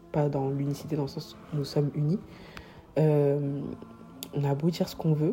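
This woman has a very deep, low pitch and ordinary pitch variation. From Paris, France. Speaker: podcast host. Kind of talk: solo podcast monologue. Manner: halting.

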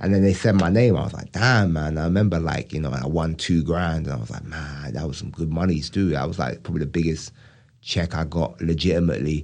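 Talking at a very fast pace, a man uses a very deep, low voice with vocal fry and ordinary pitch variation. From England. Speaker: stand-up comedian. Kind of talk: casual chat.

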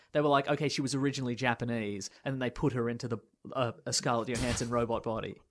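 A man talks at a very fast pace with a medium pitch. His intonation stays fairly even over a quiet background. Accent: Australian. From Australia. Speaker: podcast host. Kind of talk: casual chat. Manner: joking.

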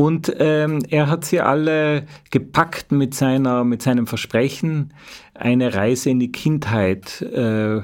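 A man with an Austrian accent speaks with ordinary pitch variation in a very clean recording with a silent background. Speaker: journalist. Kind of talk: interview. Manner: halting.

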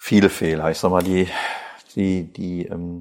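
A man speaks in a very deep, low pitch with a slight North Rhine-Westphalian accent. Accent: slight North Rhine-Westphalia. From western Germany, Krefeld (North Rhine-Westphalia). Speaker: company managing director, chemist. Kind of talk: interview. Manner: hesitant, many fillers and repetitions.

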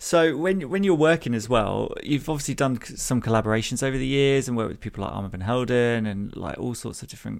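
A plain, everyday voice from a man of medium pitch, with lively intonation at a fairly quick pace. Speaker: podcast host. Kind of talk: interview conversation.

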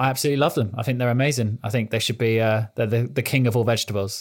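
Here a man speaks with a British accent. His intonation is fairly even. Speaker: IT security technologist. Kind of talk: podcast interview.

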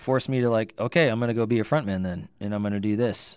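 On a very clean recording with a silent background, a man of medium pitch talks at a very fast pace in an American accent. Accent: slight North Dakota creep, mostly avoided. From Northern California (Livermore). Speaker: singer-songwriter. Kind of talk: casual interview chat.

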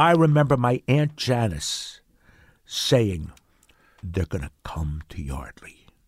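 Speaking very slowly with long, frequent pauses, a man with a Mid-Atlantic American accent uses a medium pitch, a somewhat breathy voice and very wide pitch swings on a very clean recording with a silent background. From Pennsylvania, Bucks County. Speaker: character actor. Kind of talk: casual interview chat.

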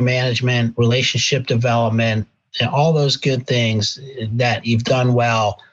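A somewhat breathy man with an American accent, at medium pitch and a moderate pace. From Pennsylvania. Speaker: healthcare executive. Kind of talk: interview.

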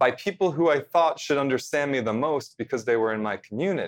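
Over a quiet background, a man uses a normal speaking voice with lively intonation at a moderate pace. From central New Jersey. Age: 30s. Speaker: TV host and correspondent. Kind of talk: casual interview chat.

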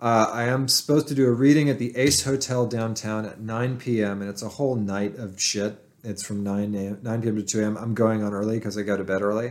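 A man with a plain, everyday voice and a medium pitch speaks at a fairly quick pace with hardly any pauses and fairly even intonation. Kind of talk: casual chat. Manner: profane.

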